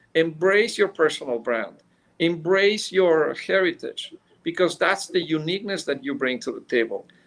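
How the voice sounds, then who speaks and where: Speaking in a Mexican accent, a man talks at a moderate pace in a high voice. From Mexico City, Mexico. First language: Spanish. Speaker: business executive. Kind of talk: interview. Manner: halting, many fillers.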